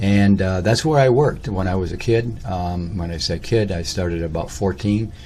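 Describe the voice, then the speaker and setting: With audible room echo, a man in an American accent speaks at a moderate pace in a very deep, low, somewhat breathy voice with lively intonation. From Michigan (Lansing), US Midwest. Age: 60s. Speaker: personal storyteller / vlogger. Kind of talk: autobiographical monologue. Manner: halting, many fillers and false starts.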